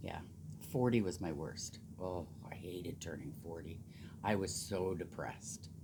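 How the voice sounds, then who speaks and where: With a Canadian Prairies accent, a woman speaks at a moderate pace in a dark, mellow tone with ordinary pitch variation. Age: 60s. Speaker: knitting vlogger. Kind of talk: casual chat. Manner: animated.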